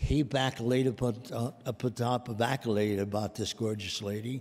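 A man's dark, mellow voice at a fairly slow pace. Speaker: presenter. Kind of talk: tribute speech. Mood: warm, affectionate remembrance. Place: hall. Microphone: podium.

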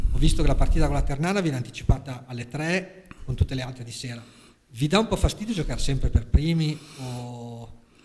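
A man has a normal speaking voice at a medium pitch. His intonation is lively, and his loudness swings widely. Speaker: sports journalist. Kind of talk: press conference questions.

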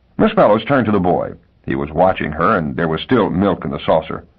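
Speaking at a fairly quick pace, a man uses very wide pitch swings and vocal fry. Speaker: audiobook narrator. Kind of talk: literary audiobook narration of a short story. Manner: measured, expressive storytelling voice.

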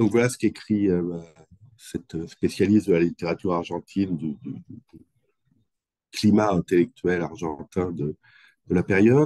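A man speaks at a fairly slow pace in a low voice with a dark, mellow tone and a slightly husky edge, leaving long, frequent pauses. The sound is dry and close, with no echo. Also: ordinary pitch variation.

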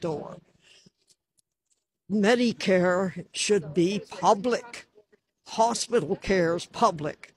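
A woman's somewhat breathy, fairly low voice with ordinary pitch variation, dry with no echo, over light background noise. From Canada. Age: 80s+. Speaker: activist. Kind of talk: public statement at a rally. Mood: earnest political complaint. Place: street. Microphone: handheld.

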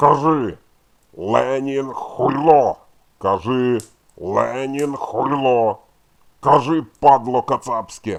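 Very slow delivery broken by long, frequent pauses, with ordinary pitch variation. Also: man, medium pitch for a man. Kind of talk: crude, insulting. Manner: furious.

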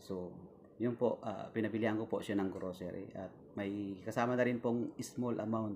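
The speech moves at a moderate pace with fairly even intonation over light background noise. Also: man. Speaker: vlogger. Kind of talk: casual talk to camera. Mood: calm, sympathetic. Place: home room. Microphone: phone near.

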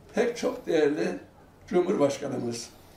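A man talks in a space with audible room echo. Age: 80s+. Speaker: elderly poet reciting. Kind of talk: poetry reading. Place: home room.

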